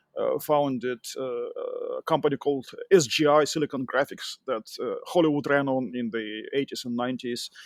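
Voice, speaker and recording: This man speaks with a Russian accent at a moderate pace, with hardly any pauses. The sound is dry and close, with no echo. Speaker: tech entrepreneur and engineering manager. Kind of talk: podcast interview. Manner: hesitant, with fillers.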